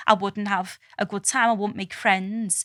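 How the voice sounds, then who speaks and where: With a strong Scouse accent, the voice has a bright, sharp tone and fairly even intonation in a dry, close sound with no echo. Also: woman, very clean recording, silent background. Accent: strong Liverpool (Scouse). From Liverpool, England. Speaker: scientist. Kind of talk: podcast interview answer. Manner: casual, candid.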